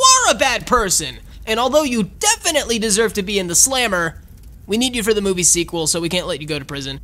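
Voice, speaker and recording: A cartoonish character voice with a fairly high pitch rattles along at a very fast pace over light background noise. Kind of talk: cartoon comedy. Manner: cocky, upbeat.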